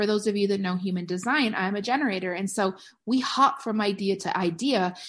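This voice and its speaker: An animated tone carries ordinary pitch variation at a fairly quick pace. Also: woman, medium pitch for a woman. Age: 40s. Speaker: podcast host and network marketing coach. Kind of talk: casual solo podcast monologue.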